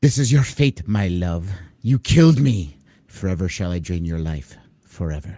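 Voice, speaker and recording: Using a put-on character voice, a man speaks at a moderate pace in a very deep, low pitch on a very clean recording with a silent background. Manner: menacing, accusing.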